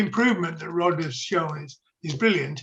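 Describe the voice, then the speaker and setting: A man with a Yorkshire accent and ordinary pitch variation. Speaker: meeting member asking a question. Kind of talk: question in a video meeting. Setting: video call.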